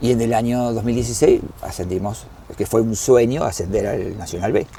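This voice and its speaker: Noticeable background noise and audible room echo, with a man at medium pitch, ordinary pitch variation and a moderate pace. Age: 60s. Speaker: club historian and doctor. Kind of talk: interview. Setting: at a football stadium. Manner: halting, with fillers and repetitions.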